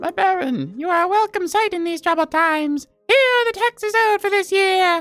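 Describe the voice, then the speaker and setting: A put-on character voice, extremely high-pitched, at a fairly quick pace with hardly any pauses, over faint music in the background. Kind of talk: rustic, humble, old-fashioned. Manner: deferential.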